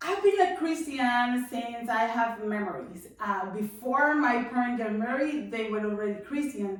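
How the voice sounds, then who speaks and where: In a Spanish accent, a woman with a high pitch talks at a fairly slow pace with lively intonation, and the room echo is audible. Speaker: testimony guest. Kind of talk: testimony. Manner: halting.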